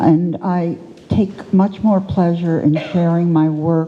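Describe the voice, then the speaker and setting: A woman with a fairly low pitch and ordinary pitch variation talks while noticeable background noise carries on. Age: 80s+. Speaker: artist. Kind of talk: panel discussion.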